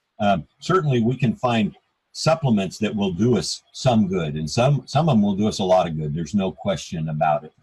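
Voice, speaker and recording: Talking at a fairly quick pace with an American accent, a man has a fairly low, somewhat breathy voice with very wide pitch swings. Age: 60s. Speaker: author and health speaker. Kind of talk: talk on a group call. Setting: group call.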